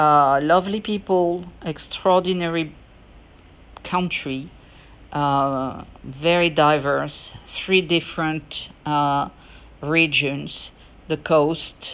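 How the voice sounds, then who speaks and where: In a French accent, a woman speaks at a very deep, low pitch with fairly even intonation. Her pace is very slow, broken by long, frequent pauses. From France. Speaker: podcaster. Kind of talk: solo podcast monologue. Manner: halting, many fillers.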